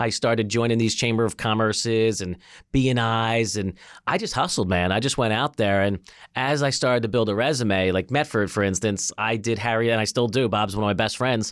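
Here is a man with a normal speaking voice and medium pitch, in an American accent. His loudness stays very even. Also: ordinary pitch variation, fairly quick pace, very clean recording, silent background. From Philadelphia. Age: 40s. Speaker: tech company CEO. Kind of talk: casual interview.

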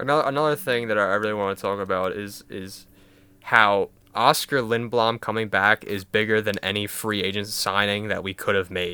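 A man with an American accent and a bright, sharp tone speaks at a fairly quick pace, his fairly low pitch kept in fairly even intonation. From Philadelphia. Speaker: sports podcast co-host. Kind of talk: casual chat. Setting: remote recording.

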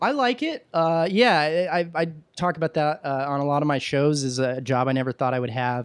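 A man with an ordinary speaking voice, a fairly high pitch and ordinary pitch variation. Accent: American. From Texas, Williamson County near Austin. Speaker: TV producer and comedian. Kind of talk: casual chat.

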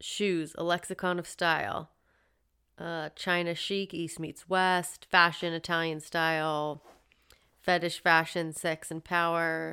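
A woman's fairly low voice with a Californian accent, bright and sharp in tone, flat and monotone, at a very slow pace on a very clean recording with a silent background. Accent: Californian stoner-like. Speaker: podcast co-host. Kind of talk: casual chat. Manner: relaxed, filler-heavy.

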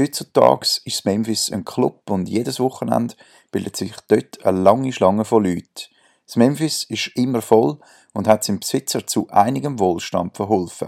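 A man with an unremarkable speaking voice talks at a moderate pace, his pitch fairly low with ordinary variation. The recording is very clean and dry, close-miked with no echo and a silent background. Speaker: podcast host. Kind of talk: scripted intro; interview. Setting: at a bar.

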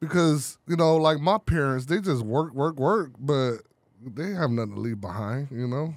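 A man with an American accent and an unremarkable speaking voice talks at a moderate pace, fairly high in pitch with lively intonation, in a very clean recording with a silent background. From Chicago. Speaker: printing business owner. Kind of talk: casual chat. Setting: studio.

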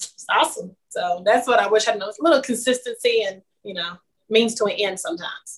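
A woman talks at a fairly quick pace with an American accent. Her voice is somewhat breathy, with ordinary pitch variation. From Kansas City, Kansas. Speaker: singer-songwriter. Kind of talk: interview.

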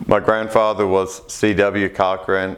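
In a Kentucky accent, a man speaks at a very slow pace. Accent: Kentucky Southern American. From Kentucky, Hardin County area. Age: 40s. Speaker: farmer and co-op board director. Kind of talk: interview.

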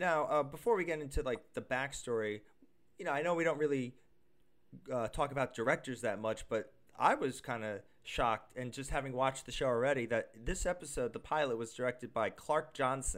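A man with a plain, everyday voice talks at medium pitch and a fairly quick pace, using ordinary pitch variation. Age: 30s. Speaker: podcast co-host. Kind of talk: casual chat.

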